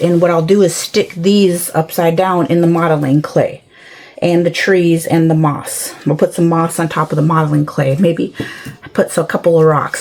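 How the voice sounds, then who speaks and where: Amid noticeable background noise, a woman talks at a moderate pace with a fairly low pitch. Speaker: craft tutorial creator. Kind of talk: tutorial. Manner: hesitant.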